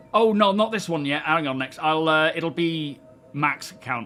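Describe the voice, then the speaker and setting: A man with an English accent talks at a moderate pace and a fairly high pitch. Noticeable background noise is present. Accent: English, compared to Tyson Fury's. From England, Northamptonshire. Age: 40s. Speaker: gaming streamer. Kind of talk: casual live stream chat. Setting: live stream. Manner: relaxed, hesitant with fillers.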